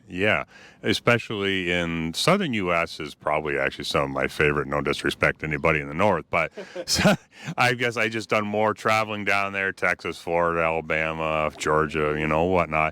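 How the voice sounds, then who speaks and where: A man with a Canadian accent speaks at a fairly quick pace in a very deep, low voice, with a dry, close sound and no echo. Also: ordinary pitch variation. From Canada. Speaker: YouTuber, car video host. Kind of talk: casual interview.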